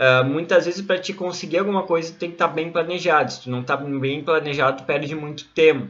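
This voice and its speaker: With ordinary pitch variation, this man's voice sits at a high pitch. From southern Brazil, Rio Grande do Sul (Santana do Livramento). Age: 20s. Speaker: psychologist and coach. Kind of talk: online course lesson.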